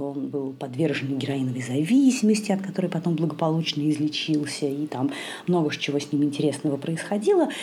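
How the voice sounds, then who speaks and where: Over noticeable background noise, a soft-spoken woman talks at a fairly quick pace. Her voice is very deep and low in pitch, with ordinary variation. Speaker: podcast host on yoga and India. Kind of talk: solo podcast monologue, book review. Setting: at home in the kitchen late at night. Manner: soft-spoken, quiet. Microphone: possible sound quality problems.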